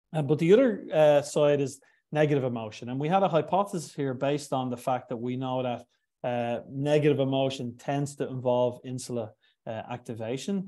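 Here a man talks with an Irish accent and a dark, mellow tone. The background is quiet. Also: medium pitch for a man, ordinary pitch variation, fairly quick pace. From Ireland. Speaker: neuroscience professor; guest lecturer. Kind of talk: lecture. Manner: halting. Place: home room.

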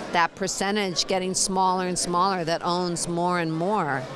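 Over noticeable background noise, in a dry sound with no echo, a woman with a fairly low pitch speaks at a moderate pace. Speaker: interviewee. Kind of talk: interview answer. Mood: emotional, earnest. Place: hall. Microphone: handheld.

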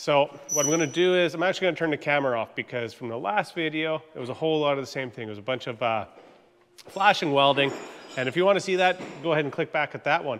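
A man talking at a very fast pace over light background noise. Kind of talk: casual workshop tutorial. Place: garage. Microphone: phone near.

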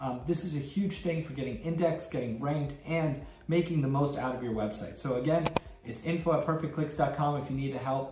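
A man talks at a fairly quick pace with fairly even intonation. Audible room echo and light background noise are present. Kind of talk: tutorial intro. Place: office.

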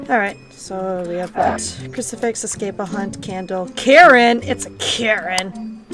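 A woman speaks with clear music playing in the background. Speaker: game streamer. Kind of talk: casual gaming chat. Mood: playful, laughing. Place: home room.

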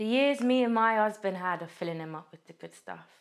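Over a quiet background, a woman speaks at a moderate pace. Her intonation is lively. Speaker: actor. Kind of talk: dramatic monologue performance, raw and confrontational. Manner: anguished, building to furious defiance; rhythmic, relentless repetition of accusing phrases. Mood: anguished, angry, intense. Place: studio.

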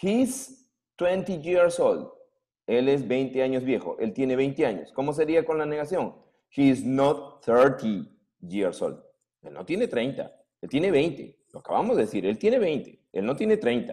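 Over a quiet background, a man with a dark, mellow tone and fairly high pitch talks at a very slow pace, using very wide pitch swings and big swings in loudness. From Peru. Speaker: secondary school English teacher. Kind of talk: online class lecture. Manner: animated. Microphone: webcam.

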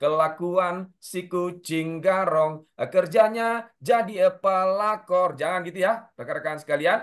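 Against a quiet background, a man with a high voice talks very slowly, hardly pausing, his pitch varying in an ordinary way. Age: 30s. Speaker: safety instructor. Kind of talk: lecture. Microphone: video call.

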